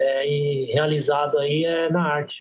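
A man talks in a flat monotone with a fairly high pitch. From Brazil, Guarulhos (São Paulo). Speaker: graffiti artist and tattooist. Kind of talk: casual podcast interview.

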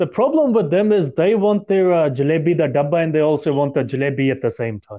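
Hardly pausing, a man with a plain, everyday voice talks at a fairly quick pace in a fairly high pitch with lively intonation. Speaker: podcast host. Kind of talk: casual discussion podcast.

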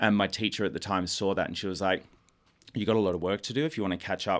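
This man's voice sits at a fairly low pitch. The recording is very clean, with a silent background. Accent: Australian. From Australia, Melbourne. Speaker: musical theatre actor. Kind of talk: radio interview.

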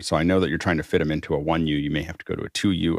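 A man speaks with a very deep, low pitch and vocal fry. His pitch variation is ordinary. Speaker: show host. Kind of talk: casual chat. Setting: video call.

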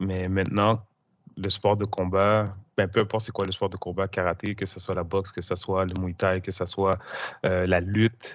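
Against a quiet background, a man with a Quebec accent talks at a moderate pace in a fairly low, monotone, flat voice. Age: 40s. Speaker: coach and hypnosis teacher. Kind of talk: interview.

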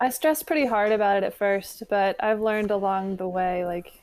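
A woman with an American accent speaks in a plain, everyday voice at medium pitch and a moderate pace, on a very clean recording with a silent background. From West Virginia. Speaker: independent musician. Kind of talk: casual interview.

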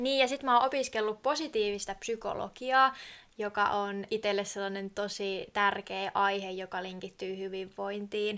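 A woman at medium pitch with a bright, sharp tone, ordinary pitch variation and a fairly slow pace, on a very clean recording with a silent background. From southern Finland, Kiikoinen. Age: 20s. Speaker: podcast co-host, tourism student. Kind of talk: casual chat.

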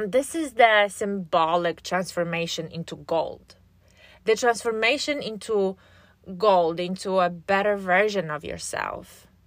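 Speaking with a Polish accent, a woman uses a medium pitch and ordinary pitch variation. She goes at a fairly slow pace on a very clean recording with a silent background. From Poland. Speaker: podcast host and relationship coach. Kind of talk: solo podcast monologue. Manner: casual.

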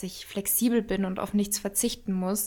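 Woman with a fairly high pitch and monotone, flat intonation. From Bavaria, near Munich. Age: 20s. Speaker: fitness and nutrition influencer, cookbook author. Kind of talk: casual interview.

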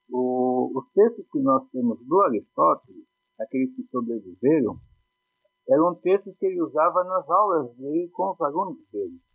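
A man with a high voice swings very widely in pitch while keeping a moderate pace. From Brazil, Poá (São Paulo state). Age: 50s. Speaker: philosophy teacher. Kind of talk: casual chat.

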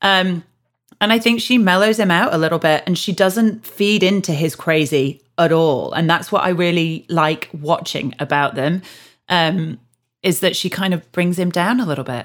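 A woman with a Yorkshire accent speaks at a moderate pace in a fairly low pitch with ordinary pitch variation, on a very clean recording with a silent background. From Yorkshire, England. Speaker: podcast host. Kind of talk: casual chat.

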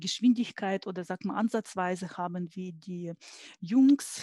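A dark, mellow tone, somewhat breathy, with a dry, close sound with no echo on a very clean recording with a silent background. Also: woman. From Ukraine. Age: 40s. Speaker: engineer and IT consultant. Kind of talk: interview.

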